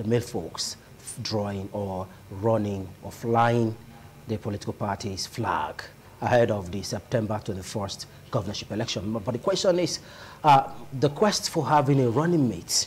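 Light background noise accompanies a somewhat breathy man whose pitch varies in an ordinary way. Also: moderate pace. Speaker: TV show host. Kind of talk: talk show introduction. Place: studio. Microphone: lapel.

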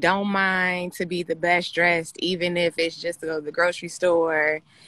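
A woman's fairly low, bright and sharp voice, fairly slow and monotone. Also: dry sound with no echo. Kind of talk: interview answer. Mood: cheerful, friendly. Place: garden. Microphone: video call.

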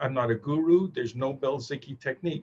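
Over light background noise, a man speaks at a moderate pace, his voice somewhat breathy. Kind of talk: lecture. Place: office. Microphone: webcam.

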